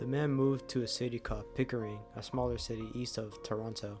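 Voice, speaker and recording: Over music in the background, a man talks at a fairly quick pace, medium in pitch, with ordinary pitch variation. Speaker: horror story narrator. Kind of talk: horror story narration.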